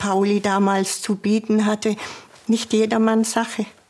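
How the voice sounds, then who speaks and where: Against noticeable background noise, a woman speaks in a flat monotone. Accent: Swabian. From Swabia, southern Germany. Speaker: former police officer. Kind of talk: interview testimony. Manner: halting.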